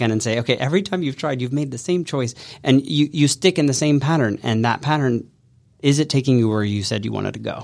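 An ordinary speaking voice at a fairly quick pace with ordinary pitch variation, in a very clean recording with a silent background. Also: man. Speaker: business coach. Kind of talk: casual interview and live coaching session. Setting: studio.

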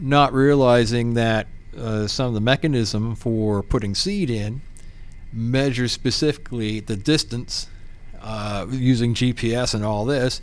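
In an American accent and a plain, everyday voice, a man speaks at a medium pitch and a fairly slow pace with ordinary pitch variation. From Pennsylvania. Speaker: real estate professional. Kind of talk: casual interview.

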